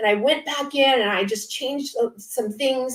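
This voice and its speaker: A woman with an American accent, high pitch, ordinary pitch variation and a moderate pace, over noticeable background noise. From US West Coast, Orange County, California. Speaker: author. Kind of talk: panel interview.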